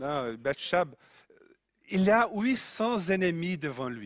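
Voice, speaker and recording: On a very clean recording with a silent background, a man speaks very slowly at high pitch with very wide pitch swings. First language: Portuguese (speaking French). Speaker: preacher. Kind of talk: sermon.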